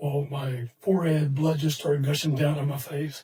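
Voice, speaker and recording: A man talks at a moderate pace in a fairly high, somewhat breathy voice with monotone, flat intonation. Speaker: retired football coach and sports hall of famer. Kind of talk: casual interview. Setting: podcast studio. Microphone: too far from the mic.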